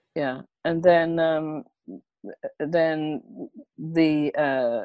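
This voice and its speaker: Dry and close with no echo, the recording captures a woman with an English accent. Her pitch is very deep and low, and her intonation stays fairly even. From England. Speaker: comedian and therapist. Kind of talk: interview answer.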